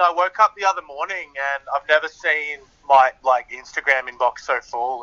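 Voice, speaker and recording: Over noticeable background noise, the speaker talks with lively intonation in an Australian accent. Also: man. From Australia, Sydney. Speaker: singer-songwriter. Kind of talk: interview.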